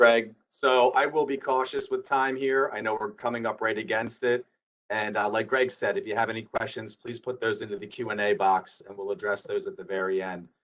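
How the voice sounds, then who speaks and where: A man talks at a fairly quick pace with hardly any pauses. His medium pitch shows ordinary variation, while his loudness swings widely. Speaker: insurance executive. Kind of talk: webinar presentation. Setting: webinar. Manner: fast.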